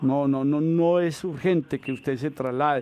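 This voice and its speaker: This man has a normal speaking voice with a fairly high pitch. He talks at a fairly slow pace. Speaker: pension lawyer answering radio call-ins. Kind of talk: radio call-in advice.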